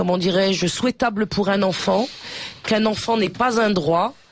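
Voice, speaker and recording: Medium in pitch, a woman talks with fairly even intonation in an ordinary speaking voice. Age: 50s. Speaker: activist. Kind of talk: radio talk.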